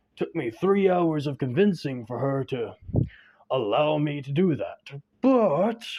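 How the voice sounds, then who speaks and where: Using a put-on character voice, a man speaks fairly high with a warm tone. He goes at a fairly slow pace with lively intonation. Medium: read story. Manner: warm, jovial.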